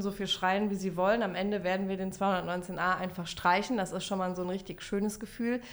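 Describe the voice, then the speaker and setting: A woman speaks at medium pitch and a fairly quick pace. Her intonation stays monotone and flat. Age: 30s. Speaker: member of parliament. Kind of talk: casual chat.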